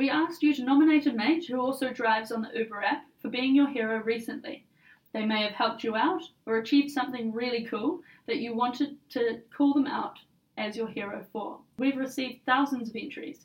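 In a New Zealand accent, a woman talks at a fairly quick pace and a high pitch with ordinary pitch variation. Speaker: podcast host. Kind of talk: scripted corporate podcast.

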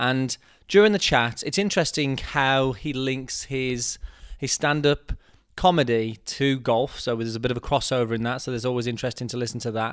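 At a fairly quick pace, a man talks in an ordinary speaking voice of medium pitch with ordinary pitch variation. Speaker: golf podcast host. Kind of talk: casual interview chat.

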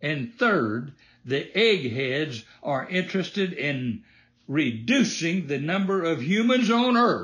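Against a quiet background, a man talks very slowly at a high pitch, swinging very widely up and down. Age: 80s. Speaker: podcast host. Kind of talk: scripted patriotic commentary podcast.

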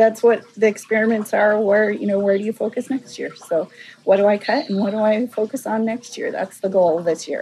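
A woman with an American accent speaks at a fairly quick pace in a fairly high pitch, her intonation fairly even, with noticeable background noise. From Walla Walla Valley, eastern Washington/Oregon, US. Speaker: flower farmer. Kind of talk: casual interview. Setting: outdoors on a flower farm.

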